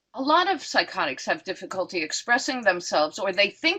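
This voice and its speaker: Her tone bright and sharp, a woman talks at a fairly quick pace with very wide pitch swings. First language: not English. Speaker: psychotherapist and professor. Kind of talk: lecture Q&A. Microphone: voice cutting in and out.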